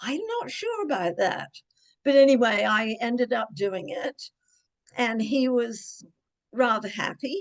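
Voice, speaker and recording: A woman with a British accent, at a very slow pace. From Cornwall, England. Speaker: mystery author and ghostwriter. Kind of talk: interview answer.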